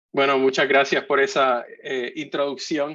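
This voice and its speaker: A man speaks in a Puerto Rican accent. His pitch is fairly high. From Puerto Rico. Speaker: architect and industry speaker. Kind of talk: conference talk. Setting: virtual conference. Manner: halting, many fillers.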